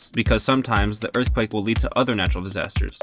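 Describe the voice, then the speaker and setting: A man speaks at a very fast pace and medium pitch in a dry, close sound with no echo, with music in the background. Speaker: student. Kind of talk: mock podcast educational narration. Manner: occasional stutter.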